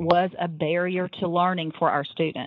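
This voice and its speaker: A woman with a fairly low voice at a fairly slow pace. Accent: Tennessee. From US South. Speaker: public school program coordinator. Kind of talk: podcast interview. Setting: phone call.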